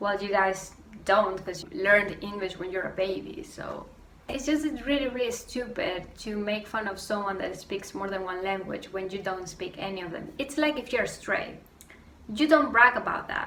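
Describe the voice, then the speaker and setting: A woman speaks with a Spanish accent at a moderate pace, her medium pitch shaped by lively intonation. Audible room echo and noticeable background noise surround her voice. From Venezuela. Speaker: YouTuber. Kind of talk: rant vlog. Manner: animated.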